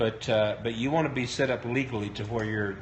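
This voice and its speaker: With audible room echo, a man speaks at a moderate pace and ordinary pitch variation. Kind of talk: live-stream talk. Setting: live broadcast on Periscope. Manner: hesitant, many fillers.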